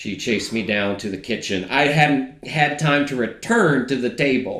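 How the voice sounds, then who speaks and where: The speaker has an American accent and ordinary pitch variation. Audible room echo is present. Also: man, medium pitch for a man. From Georgia, US (family from West Virginia). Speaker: data analyst. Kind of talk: casual conversation, storytelling.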